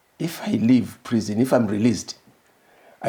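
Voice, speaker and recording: A man's dark, mellow tone sits at medium pitch, with some vocal fry. He moves at a moderate pace with ordinary pitch variation. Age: 70s. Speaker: former government minister. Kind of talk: interview. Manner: halting.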